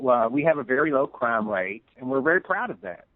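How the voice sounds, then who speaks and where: A man with a Southern US accent, fairly high in pitch, with lively intonation and a moderate pace. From US South, East Tennessee. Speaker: tourism promoter. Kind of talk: radio interview.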